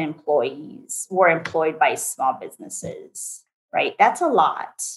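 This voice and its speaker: A woman speaks with a Portuguese accent. Her pace is very slow. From Brazil. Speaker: state legislator and attorney. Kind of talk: interview. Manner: animated.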